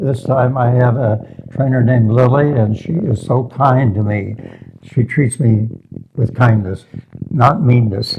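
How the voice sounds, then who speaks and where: Over noticeable background noise, a man speaks at a very slow pace in a medium pitch with ordinary pitch variation. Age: 90s. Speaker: physical therapy patient. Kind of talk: interview. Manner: halting.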